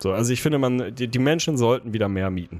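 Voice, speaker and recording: A man of medium pitch talks very fast, his intonation lively. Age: 30s. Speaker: podcast co-host. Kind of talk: casual chat. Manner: animated.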